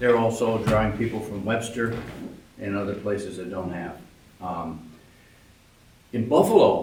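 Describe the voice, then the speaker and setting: With noticeable background noise and audible room echo, the speech moves at a moderate pace with fairly even intonation and long, frequent pauses. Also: man, fairly low pitch for a man. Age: 80s+. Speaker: public commenter, retired pharmacist. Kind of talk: public comment at a village board meeting. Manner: halting, with many fillers.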